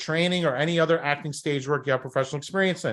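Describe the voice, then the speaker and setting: A man with a Brooklyn accent talks at a very fast pace and a fairly high pitch against a quiet background. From New York, Brooklyn. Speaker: talent agency coach. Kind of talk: workshop presentation. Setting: live stream over Zoom. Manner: animated.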